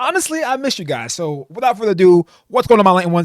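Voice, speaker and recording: Talking at a very fast pace with very wide pitch swings, a man is heard in a dry, close sound with no echo. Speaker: anime YouTuber. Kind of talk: unscripted casual commentary. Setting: home computer desk. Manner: stumbling over words.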